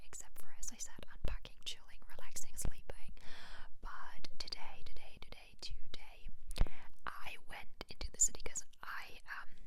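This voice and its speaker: A woman whispers at a moderate pace while noticeable background noise plays underneath. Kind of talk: ASMR whisper ramble. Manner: whispered, chatty.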